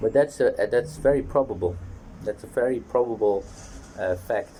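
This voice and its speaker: Somewhat breathy and dark, mellow in tone, a man with a Dutch accent speaks at a fairly quick pace with ordinary pitch variation. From Netherlands. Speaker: fitness vlogger. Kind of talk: casual monologue vlog. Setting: outdoors on a balcony.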